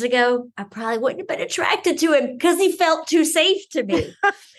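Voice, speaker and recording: A woman is speaking. Her pitch swings very widely. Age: 40s. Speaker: betrayal trauma specialist. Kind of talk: casual chat.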